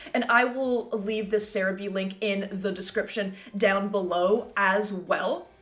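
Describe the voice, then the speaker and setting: The woman's medium-pitched voice has an animated tone and a fairly slow pace. She leaves hardly any pauses, and noticeable background noise runs underneath. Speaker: Pokemon gaming YouTuber and streamer. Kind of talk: casual video commentary.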